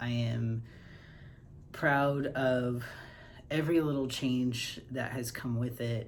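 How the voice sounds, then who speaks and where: In a room with audible echo, a man speaks very slowly at a medium pitch, somewhat breathy and with fairly even intonation. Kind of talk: casual personal vlog. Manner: hesitant, many fillers.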